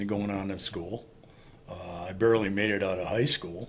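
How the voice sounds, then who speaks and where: A man with an American accent, fairly low pitch, fairly even intonation and a moderate pace, amid audible room echo. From Wisconsin, Green Bay area (US Upper Midwest). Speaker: Vietnam war veteran. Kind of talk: interview testimony.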